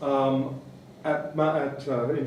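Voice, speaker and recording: A man with a Canadian accent speaks at a medium pitch. Room echo and noticeable background noise are present. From Canada. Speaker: museum director. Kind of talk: conference talk. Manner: fast; rhetorical.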